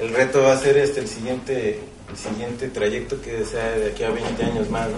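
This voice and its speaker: A moderate pace, with audible room echo and noticeable background noise. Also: man. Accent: Mexican. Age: 40s. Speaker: printmaker artist. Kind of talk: panel discussion at book launch. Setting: bookstore with live audience.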